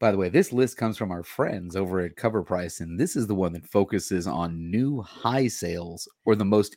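Recorded very cleanly against a silent background, a man speaks at a moderate pace in an unremarkable speaking voice. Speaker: comic book co-host. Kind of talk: casual chat.

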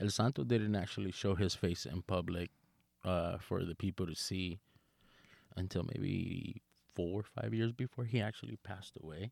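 A man speaks in a very deep, low pitch at a moderate pace with ordinary pitch variation. The recording is very clean with a silent background and a dry, close sound with no echo. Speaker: lucha libre fan and trained wrestler. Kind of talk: casual podcast chat.

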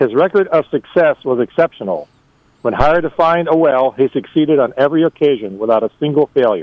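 In a normal speaking voice, a man talks at a fairly quick pace with very even loudness. His pitch is fairly high, with ordinary variation. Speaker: storyteller contributor. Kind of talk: reading aloud a humorous story.

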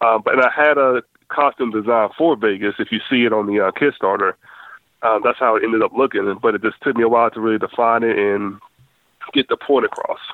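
A man with an American accent speaks at a very fast pace. His intonation stays fairly even. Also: medium pitch for a man. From Southern West Virginia. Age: 30s. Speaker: comic book creator. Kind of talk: casual chat.

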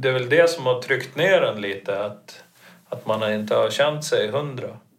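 A man speaking at a fairly slow pace. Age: 50s. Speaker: coaching client. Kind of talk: casual chat.

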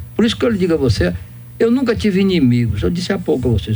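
This man's voice rises and falls in very wide pitch swings. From Brazil, interior of Bahia. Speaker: doctor and former politician. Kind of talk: radio interview.

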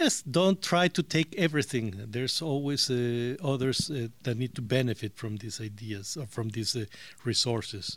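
A man with a Spanish accent speaks at a moderate pace with medium pitch and lively intonation. The recording is very clean, with a silent background. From Mexico. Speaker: interviewee. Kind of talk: interview.

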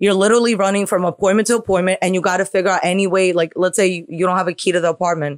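A woman's medium-pitched voice at a very fast pace, with hardly any pauses, fairly even intonation and very even loudness. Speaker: social media personality. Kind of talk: casual interview chat. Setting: hotel room interview.

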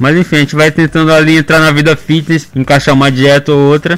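Speaking with a normal speaking voice, a man keeps a moderate pace at a fairly high pitch. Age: 20s. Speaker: anonymous social media news page creator and law student. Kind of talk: radio interview. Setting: radio studio.

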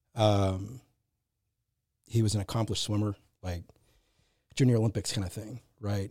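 This man's voice sits at a fairly low pitch with a dark, mellow tone. He sounds somewhat breathy and moves at a fairly quick pace. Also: long, frequent pauses, very clean recording, silent background. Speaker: podcast host. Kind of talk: casual chat. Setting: studio.

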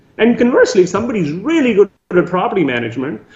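Amid noticeable background noise, a man talks at a very fast pace with a high pitch and very wide pitch swings. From Canada. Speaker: real estate syndicator. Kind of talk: interview.

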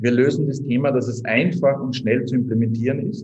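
The speaker has a slight Viennese accent and ordinary pitch variation. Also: man. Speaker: startup co-founder. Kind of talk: interview.

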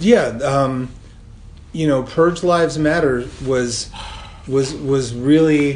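A man's fairly high voice with an American accent, very slow pace, long and frequent pauses, ordinary pitch variation, and noticeable background noise. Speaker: podcast co-host. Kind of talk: casual chat. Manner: casual, colloquial, profane.

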